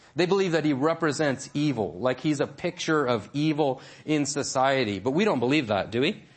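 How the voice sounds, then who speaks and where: A man talks at a fairly quick pace in a fairly high pitch, with hardly any pauses. His intonation is lively and his loudness very even. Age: 40s. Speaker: pastor. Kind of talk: sermon.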